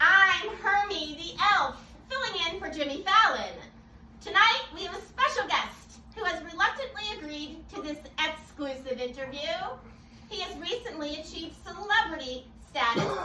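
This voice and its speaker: This put-on character voice sits at an extremely high pitch, with a slight echo around it. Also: moderate pace. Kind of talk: talk show host. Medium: stage play.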